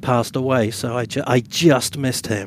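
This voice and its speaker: Speaking at a fairly quick pace with an English accent, a man keeps his intonation fairly even. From England (Bath). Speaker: podcast co-host and author. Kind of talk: casual chat. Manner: halting.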